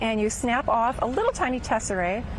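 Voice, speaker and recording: A woman with a Minnesota accent speaks at a fairly high pitch with ordinary pitch variation, against noticeable background noise and audible room echo. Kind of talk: TV interview. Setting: outdoor arts festival.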